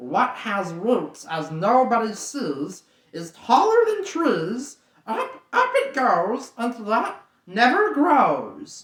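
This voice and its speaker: A man does a put-on character voice at an extremely high pitch, guttural and hissing. He talks very slowly. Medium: read story. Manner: talks to himself as "my precious".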